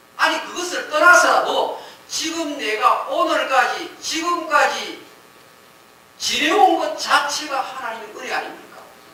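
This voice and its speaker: At an extremely high pitch, a man speaks fairly slowly with lively intonation and big swings in loudness, amid noticeable background noise and audible room echo. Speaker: pastor. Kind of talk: sermon.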